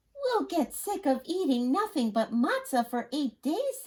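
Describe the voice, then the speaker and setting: A woman uses a put-on character voice, high-pitched and squeaky. Her pitch swings very widely at a moderate pace. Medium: read story. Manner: practical, gently insistent.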